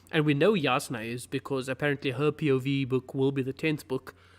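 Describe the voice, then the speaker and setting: Music plays in the background. A man talks at a fairly high pitch with fairly even intonation. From South Africa, Cape Town. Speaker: fantasy book video creator. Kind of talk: live stream Q&A. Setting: live stream.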